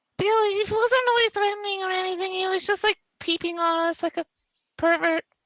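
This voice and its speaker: A woman's put-on character voice, squeaky and bubbly, at an extremely high pitch and a fairly quick pace. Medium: actual play. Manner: bubbly, rambling.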